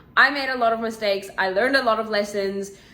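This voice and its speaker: Intonation stays fairly even. Audible room echo is present. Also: woman. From South Africa. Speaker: vlogger and English teacher. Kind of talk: casual Q&A vlog chat. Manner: chatty, informal.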